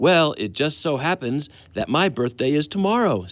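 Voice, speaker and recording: Put-on character voice from a man, pitched fairly high, moderate in pace. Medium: read story.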